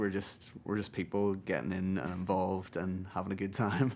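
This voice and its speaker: At a fairly quick pace, a man with an Irish accent speaks in a fairly low pitch. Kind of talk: interview. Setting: music awards event.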